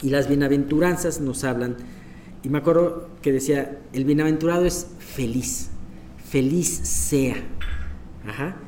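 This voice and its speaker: Over noticeable background noise and audible room echo, a man with a fairly high pitch talks at a fairly slow pace, with ordinary pitch variation and long, frequent pauses. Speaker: Bible study leader. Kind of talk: Bible study teaching. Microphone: voice echoing, sounded doubled.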